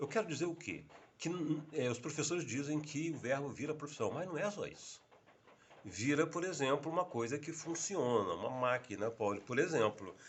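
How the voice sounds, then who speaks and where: Somewhat breathy, a man talks at a moderate pace with a fairly high pitch. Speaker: vlogger teaching English tips. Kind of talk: unscripted casual video monologue. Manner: halting, with frequent fillers.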